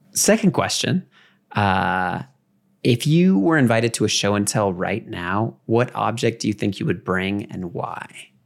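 A man with a normal speaking voice and a fairly low pitch. His intonation is lively and his pace fairly slow. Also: very clean recording, silent background. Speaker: podcast host. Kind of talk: interview.

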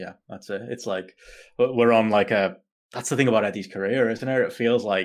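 A man with a British accent speaks with fairly even intonation in a very clean recording with a silent background. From United Kingdom. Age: 30s. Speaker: wrestling podcaster, guest. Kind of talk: casual chat. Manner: frequent fillers and hesitations.

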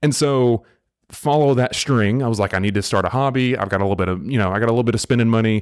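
In a Southern US accent, a man at a medium pitch speaks at a very fast pace with ordinary pitch variation and very even loudness, recorded very cleanly against a silent background. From US South. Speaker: podcast host. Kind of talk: casual chat. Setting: studio.

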